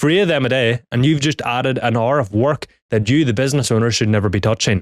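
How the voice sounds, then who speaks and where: In a Northern Irish accent, a man speaks at a very fast pace in an animated tone, with a medium pitch, ordinary pitch variation and very even loudness, in a dry, close sound with no echo on a very clean recording with a silent background. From Northern Ireland. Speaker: business coach. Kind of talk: talking-head tutorial.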